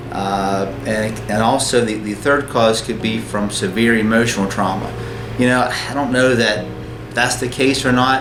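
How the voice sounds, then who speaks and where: The speaker has an American accent and a monotone, flat intonation. Music plays in the background, and the room echo is audible. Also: man. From US, south-central Pennsylvania. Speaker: teacher. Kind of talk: personal talk to students.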